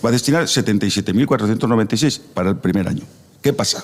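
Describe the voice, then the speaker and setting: A medium-pitched man at a very fast pace with lively intonation and noticeable background noise. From Navarre, Spain (Tudela area). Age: 60s. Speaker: radio debate panelist. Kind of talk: radio debate.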